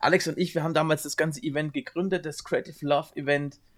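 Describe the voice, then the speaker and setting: A man with a fairly high pitch rattles through his words at a very fast pace. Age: 40s. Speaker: wedding photographer, podcast host. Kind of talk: casual chat.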